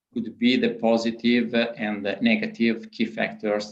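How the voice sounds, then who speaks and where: A man with an Italian accent, medium pitch, fairly even intonation and a fairly slow pace, amid audible room echo. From Italy. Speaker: panel moderator. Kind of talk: conference panel moderation. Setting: video conference. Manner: halting.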